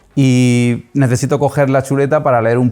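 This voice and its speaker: In an Andalusian accent, a man talks at a fairly slow pace with a medium pitch, a dark, mellow tone and fairly even intonation. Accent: Almerian Andalusian. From Almería, Spain. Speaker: podcast host. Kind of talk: interview podcast.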